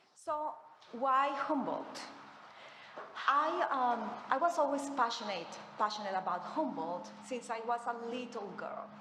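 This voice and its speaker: Lively intonation at a fairly slow pace with long, frequent pauses, against audible room echo and noticeable background noise. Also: woman, high pitch for a woman. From Colombia. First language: Spanish. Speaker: professor. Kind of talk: lecture. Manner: halting.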